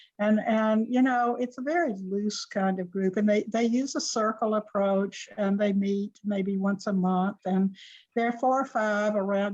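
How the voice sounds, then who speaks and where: A woman's fairly high, somewhat breathy voice at a fairly slow pace, with fairly even intonation and a quiet background. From US South, Georgia (Columbus). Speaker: journalist and author. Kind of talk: Q&A discussion. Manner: halting.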